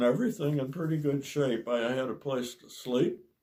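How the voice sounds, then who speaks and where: Somewhat breathy and in an American accent, the speaker goes at a moderate pace with ordinary pitch variation. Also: man. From US Midwest, Ohio. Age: 80s+. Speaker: retired optometrist. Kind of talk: interview. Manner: halting.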